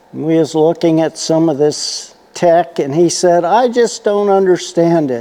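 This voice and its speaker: A man's high-pitched voice at a fairly slow pace, with hardly any pauses, ordinary pitch variation and noticeable background noise. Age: 70s. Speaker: retired repair shop owner and channel host. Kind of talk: casual monologue to camera. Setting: workshop. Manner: relaxed, conversational.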